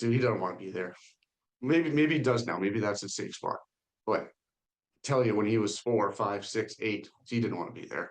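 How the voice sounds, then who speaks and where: A man is speaking. His pitch is fairly low. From Canada, Ontario (Huntsville). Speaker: rapper. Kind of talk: podcast interview. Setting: call. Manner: halting, many fillers and restarts.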